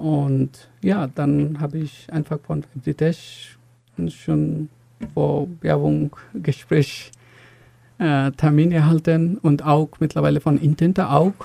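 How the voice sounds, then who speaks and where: A man speaks very slowly in a fairly high, somewhat breathy voice with a dark, mellow tone. His intonation stays fairly even, and the sound is dry and close with no echo. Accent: Bengali. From Bangladesh. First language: Bengali (speaking German). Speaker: software engineer, university graduate. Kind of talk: interview. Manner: halting, many fillers.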